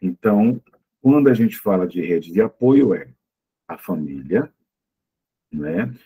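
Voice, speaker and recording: Dark, mellow tone and lively intonation at a moderate pace, with a dry, close sound and no echo. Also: man. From Pernambuco, Brazil (born in Olinda). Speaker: psychologist and lecturer. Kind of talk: talk with audience questions. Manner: hesitant, many fillers.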